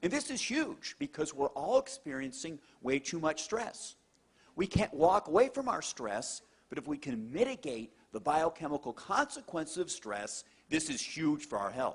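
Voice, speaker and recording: Speaking at a moderate pace, a man uses an animated tone with very wide pitch swings. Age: middle-aged. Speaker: cardiologist. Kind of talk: testimony.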